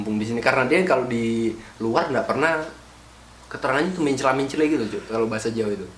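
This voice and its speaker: A man speaks at medium pitch with ordinary pitch variation. Noticeable background noise and audible room echo fill the recording. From Javanese, raised in Gorontalo. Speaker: podcast host. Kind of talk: casual chat.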